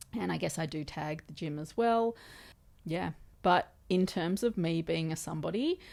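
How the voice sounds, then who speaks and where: A woman's fairly low voice with an Australian accent, moderate pace and ordinary pitch variation, on a very clean recording over a silent background. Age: 30s. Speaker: podcast host. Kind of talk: casual chat. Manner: animated.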